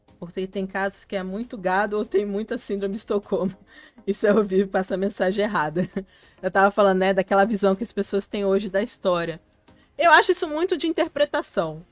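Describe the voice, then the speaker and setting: With music playing behind her, a woman speaks at a medium pitch and a fairly quick pace, using ordinary pitch variation. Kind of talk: live stream chat with viewers. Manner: casual, conversational.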